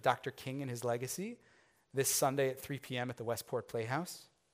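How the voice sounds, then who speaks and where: The recording is very clean and the background silent. In it, a man speaks at a very fast pace. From US Midwest, Chicago area. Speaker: rabbi. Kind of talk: sermon.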